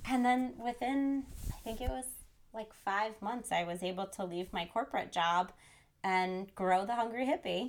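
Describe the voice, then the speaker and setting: In an American accent, a woman with a plain, everyday voice talks at a moderate pace, her fairly high pitch showing ordinary pitch variation. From New Jersey. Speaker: chef and nutrition coach. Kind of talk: interview.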